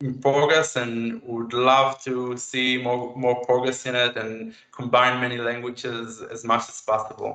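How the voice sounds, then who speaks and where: A man with an Israeli accent speaks at a fairly slow pace and medium pitch with monotone, flat intonation, hardly any pauses and big swings in loudness. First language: Hebrew. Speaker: AI researcher, chatbot developer. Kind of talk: tech talk and Q&A. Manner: halting.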